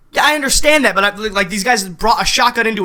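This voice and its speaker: Very fast speech over noticeable background noise. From New England. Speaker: podcast co-host. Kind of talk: casual chat.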